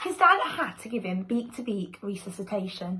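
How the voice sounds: With big pitch swings, a woman speaks at a moderate pace and medium pitch in a bright, sharp tone.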